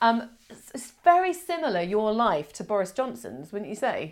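In a very clean recording with a silent background, a woman speaks at a fairly high pitch with very wide pitch swings. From Australia. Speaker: podcast host. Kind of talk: casual chat.

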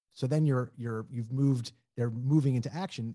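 His tone is dark and mellow, somewhat breathy, and this man's pitch moves with ordinary variation. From New Orleans. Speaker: real estate broker. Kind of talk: interview.

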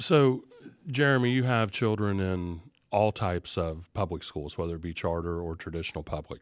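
A man with a Southern Ohio accent speaks in a very deep, low pitch at a moderate pace, his intonation lively. The recording is very clean, with a silent background. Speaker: school superintendent and show host. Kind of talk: interview on a video show.

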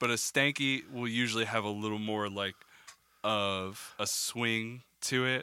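At a fairly slow pace, a man speaks in a normal speaking voice of medium pitch with fairly even intonation. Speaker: podcast co-host, audio engineer. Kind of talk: casual banter with explanation. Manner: laid-back, joking.

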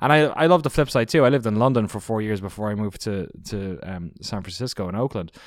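With an Irish accent, a man speaks very fast in a fairly low pitch with lively intonation. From southeast Ireland. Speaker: video documentary producer, former games journalist. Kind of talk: casual interview. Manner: rambling, fast.

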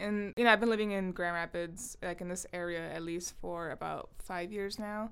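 An ordinary speaking voice with an American accent, moderate in pace, fairly even in intonation, with hardly any pauses. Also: woman, medium pitch for a woman. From Southern California (Long Beach/Compton). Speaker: podcast co-host, artist. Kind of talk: casual chat.

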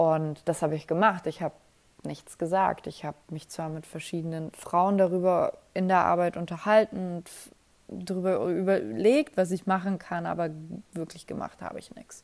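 Very clean recording with a silent background, a woman at fairly low pitch and moderate pace, her loudness swinging widely. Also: ordinary pitch variation. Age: 20s. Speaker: podcast host. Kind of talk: late-night personal monologue. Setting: home at night, alone. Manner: casual, with many fillers.

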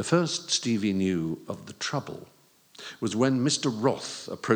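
The clip offers an unforced reading voice whose intonation is lively.

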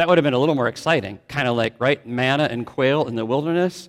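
This is a man speaking. He has an American accent. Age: 50s. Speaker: pastor. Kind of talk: sermon. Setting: church.

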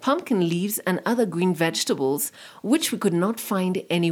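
Pitch shifts in an ordinary way as the speaker is reading aloud in a natural voice.

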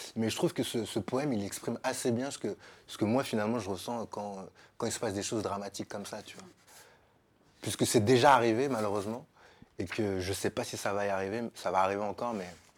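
Delivered at a very fast pace yet broken by long, frequent pauses, the speech shows ordinary pitch variation and big swings in loudness on a very clean recording with a silent background. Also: man, fairly low pitch for a man. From Paris suburbs (Sarcelles), France. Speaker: podcast guest. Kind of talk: casual chat.

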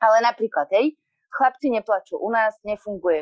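A woman speaks in an ordinary speaking voice. Her pace is moderate. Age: 30s. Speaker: poet. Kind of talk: casual chat.

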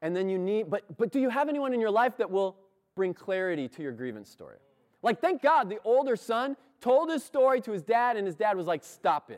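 Pitched high, a man speaks at a fairly quick pace with very wide pitch swings and big swings in loudness, the sound dry and close with no echo. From US, moved around (incl. Kansas). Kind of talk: sermon. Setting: church.

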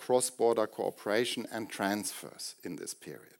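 Speaking in a German accent, a man keeps a moderate pace. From Germany. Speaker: professor. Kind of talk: lecture. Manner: formal.

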